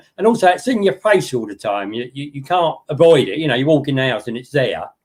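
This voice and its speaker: Very wide pitch swings and vocal fry mark this man's speech, delivered in an English accent. His pace is very fast. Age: 70s. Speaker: model railway hobbyist. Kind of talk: casual chat.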